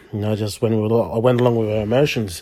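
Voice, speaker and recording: In an Australian accent, a man talks at a medium pitch with fairly even intonation and a dark, mellow tone, recorded very cleanly against a silent background. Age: 30s. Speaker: podcast host and church youth leader. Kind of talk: personal testimony. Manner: halting, many fillers.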